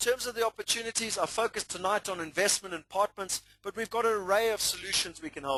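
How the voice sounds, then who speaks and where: A raised, projected voice with a South African accent and a bright, sharp tone moves at a fairly quick pace. The sound is dry and close with no echo. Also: man. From South Africa, Natal. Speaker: property investment presenter. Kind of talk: webinar presentation. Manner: animated.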